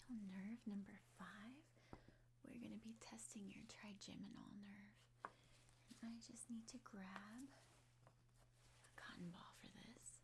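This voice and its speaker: Very slowly, a soft-spoken woman talks in a calm, gentle tone. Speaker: ASMR roleplay doctor. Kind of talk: ASMR medical exam roleplay. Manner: soft-spoken, calm, gentle.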